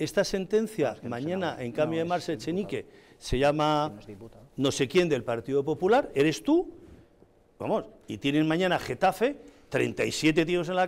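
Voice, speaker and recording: A man talks at a high pitch, his voice swinging very widely up and down. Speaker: political commentator. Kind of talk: heated debate. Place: studio.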